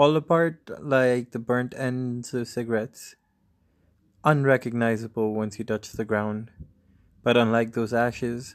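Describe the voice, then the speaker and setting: Solemn tone from a man at medium pitch, fairly slow, on a very clean recording with a silent background. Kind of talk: poetry performance. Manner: slow, measured, reflective; solemn, incantatory repetition of 'fall apart'.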